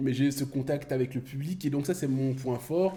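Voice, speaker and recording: A man with a fairly high pitch speaks at a very slow pace in a dark, mellow tone. His pitch variation is ordinary. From Belgium (born Kinshasa, Congo). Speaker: comedian. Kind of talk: casual chat.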